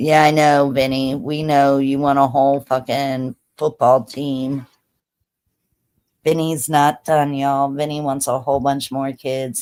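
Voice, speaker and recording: A woman with a very deep, low voice speaks fairly slowly in an animated tone. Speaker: live streamer. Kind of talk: casual chat. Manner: loud.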